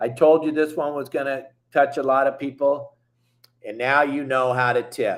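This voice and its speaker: Fairly high-pitched man with an American accent. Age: 60s. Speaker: fishing boat captain and show host. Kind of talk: fishing show monologue. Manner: animated.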